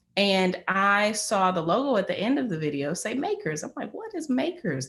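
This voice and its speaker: With an American accent, a woman speaks at medium pitch, somewhat breathy, with very wide pitch swings. The recording is very clean, the background silent. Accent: country accent, still noticeable. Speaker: media professional sharing career story. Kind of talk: career talk to small group. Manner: casual with many fillers.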